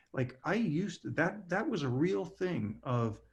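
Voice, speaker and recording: A man with an American accent speaks very slowly in a somewhat breathy voice, his pitch swinging very widely. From Southern California. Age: 60s. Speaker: speaker. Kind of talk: q&a session.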